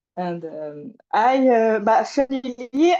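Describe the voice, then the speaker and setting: The sound is dry and close with no echo as a woman speaks in a French accent. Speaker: support group participant. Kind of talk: casual chat. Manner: halting, many fillers.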